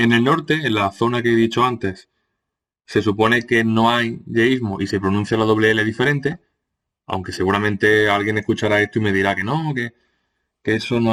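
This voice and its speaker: A man talks with a medium pitch. Behind him the background stays quiet. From Andalusia, Córdoba. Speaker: teacher. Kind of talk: lecture. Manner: hesitant, many fillers.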